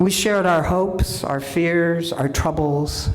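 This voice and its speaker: The pace is very slow. Audible room echo and noticeable background noise accompany the speech. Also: woman. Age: 70s. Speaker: minister. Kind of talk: sermon.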